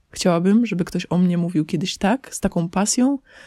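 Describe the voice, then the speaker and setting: A woman's somewhat breathy, fairly low voice with a dark, mellow tone, at a moderate pace, in a dry, close sound with no echo and a very clean recording over a silent background. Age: 20s. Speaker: podcaster. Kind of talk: personal monologue. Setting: under a blanket in parents' bedroom. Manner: casual.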